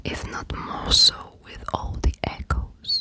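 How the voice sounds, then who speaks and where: Someone whispers in a soothing tone over noticeable background noise. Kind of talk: whispered audiobook-style reading for ASMR. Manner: whispered, close-mic, soothing.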